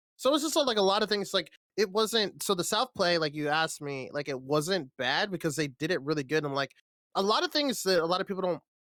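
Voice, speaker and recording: Dry and close with no echo, a man's high, bright, sharp voice races at a very fast pace with lively intonation. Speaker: esports caster. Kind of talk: live commentary.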